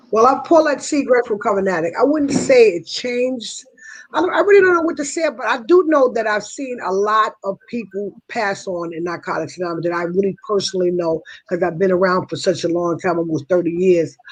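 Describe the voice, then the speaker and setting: Speaking at a fairly quick pace with an American accent, a woman of medium pitch makes very wide pitch swings. Noticeable background noise runs underneath. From New York. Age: 60s. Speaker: person in recovery sharing experience. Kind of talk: testimony. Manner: halting, many fillers and restarts.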